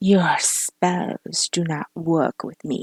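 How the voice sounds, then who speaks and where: This put-on character voice sits at a middle pitch and has a hissing sound. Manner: hissing, contemptuous.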